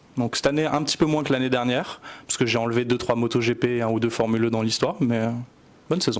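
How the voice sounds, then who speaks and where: A man at a medium pitch, talking at a very fast pace. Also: fairly even intonation. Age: 20s. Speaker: motorsport photographer. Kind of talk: casual interview.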